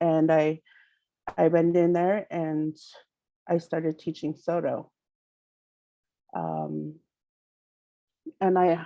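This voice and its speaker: A woman's fairly low voice, dark and mellow in tone, with long, frequent pauses. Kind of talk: presentation. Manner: halting, many fillers.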